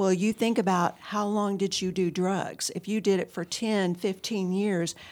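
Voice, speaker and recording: Here is a plain, everyday voice from a woman with an American accent, pitched at a medium level. She speaks at a fairly slow pace. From Texas, Houston area. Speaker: addiction recovery counselor. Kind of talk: interview, personal testimony.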